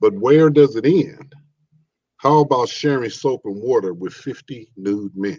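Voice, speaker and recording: A man with an American accent speaks at a fairly slow pace in a plain, everyday voice with lively intonation. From Chicago. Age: 60s. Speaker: poet. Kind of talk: reading aloud.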